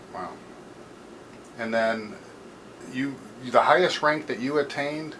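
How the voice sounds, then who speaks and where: Against noticeable background noise, a man with a fairly high pitch talks at a fairly slow pace, with ordinary pitch variation and big swings in loudness. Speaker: American Legion post historian. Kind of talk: interviewer questions.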